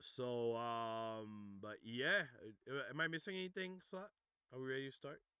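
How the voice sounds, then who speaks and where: At a fairly slow pace, a man talks at medium pitch in a bright, sharp tone with lively intonation. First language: French. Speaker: music producer and DJ hosting demo reviews. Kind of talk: livestream demo review, casual chat. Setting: Discord voice chat livestream. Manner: halting, many fillers.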